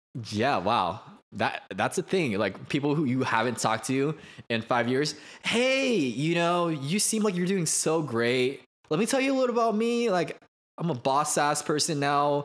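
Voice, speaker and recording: With very wide pitch swings yet very even loudness, a man of fairly high pitch speaks at a moderate pace on a very clean recording with a silent background. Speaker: podcast co-host, aspiring actor. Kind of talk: casual chat.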